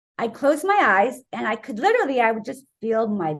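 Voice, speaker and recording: An animated woman speaks at a moderate pace in a bright, sharp tone, her pitch swinging very widely. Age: 60s. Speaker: wellness author, raw vegan doctor. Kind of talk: interview.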